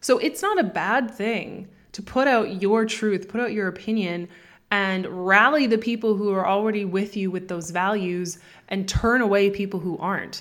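A woman with a Canadian accent uses an ordinary speaking voice at a medium pitch, keeping a moderate pace and fairly even intonation. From Canada. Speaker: business coach. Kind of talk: interview.

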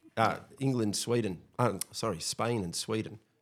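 A man speaks at a fairly low pitch and a fairly slow pace. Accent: Australian. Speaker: teacher. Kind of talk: casual chat.

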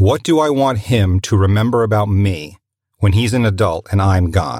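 A somewhat breathy man speaks at a moderate pace with a fairly low pitch and ordinary pitch variation. The recording is very clean, over a silent background. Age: 40s. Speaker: voice actor. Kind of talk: recorded personal testimony.

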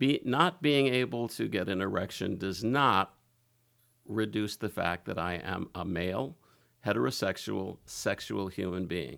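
Vocal fry marks a man's fairly low voice as he speaks at a fairly slow pace with lively intonation. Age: 60s. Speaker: retired lawyer, guest sharing personal experience. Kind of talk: interview testimony. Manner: halting, many fillers and restarts.

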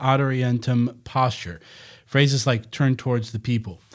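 A man talks at a moderate pace at medium pitch, an unremarkable speaking voice. The recording is very clean with a silent background. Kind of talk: casual banter. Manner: joking.

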